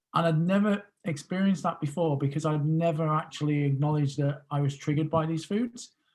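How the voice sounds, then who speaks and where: A man with a British accent talks at a very fast pace, his pitch fairly high. His intonation is fairly even and his loudness very even. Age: 40s. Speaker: podcast guest, emotional eating coach. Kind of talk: interview.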